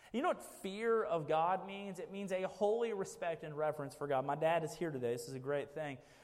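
In an American accent, the speaker moves at a fairly quick pace with hardly any pauses and ordinary pitch variation, amid audible room echo. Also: man, high pitch for a man. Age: 30s. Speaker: pastor. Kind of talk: sermon. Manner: animated.

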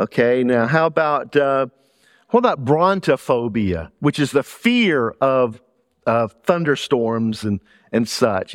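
A man with a Southern US accent and lively intonation, at a fairly slow pace, the sound dry and close with no echo against a quiet background. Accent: Southern US, noticeable. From Louisiana, US South. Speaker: pastor. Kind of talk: sermon. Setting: church with congregation.

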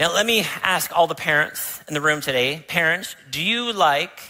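A man with a Canadian accent talks at a fairly slow pace, with a fairly high pitch, lively intonation and a bright, sharp tone. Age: 50s. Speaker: pastor. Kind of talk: sermon. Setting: church.

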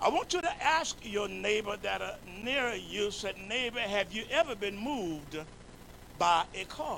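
Someone with an American accent speaks in a raised, projected voice at a fairly slow pace, with lively intonation. Noticeable background noise runs under the speech. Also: man, high pitch for a man. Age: 70s. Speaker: bishop, pastor. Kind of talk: sermon. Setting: church. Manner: animated.

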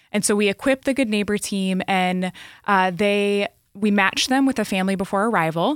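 A woman speaks in a normal speaking voice at medium pitch. Her pace is moderate, her pitch variation ordinary, and her loudness very even. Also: dry, close sound with no echo, very clean recording, silent background. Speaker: nonprofit refugee services staffer. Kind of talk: interview.

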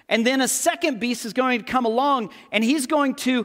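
A man with an American accent speaks at an extremely high pitch. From Texas. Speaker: pastor. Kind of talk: sermon. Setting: church.

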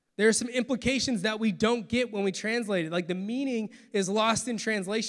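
This is a natural reading voice. Its pitch rises and falls in an ordinary way.

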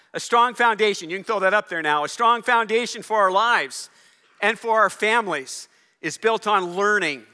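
Raised and projected, a man's high-pitched voice carries a bright, sharp tone with ordinary pitch variation. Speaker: pastor. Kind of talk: sermon. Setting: church. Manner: fast.

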